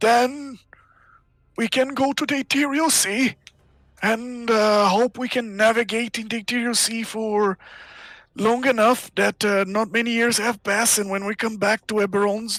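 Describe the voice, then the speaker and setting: This put-on character voice sits at a fairly high pitch and keeps a moderate pace. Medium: actual play.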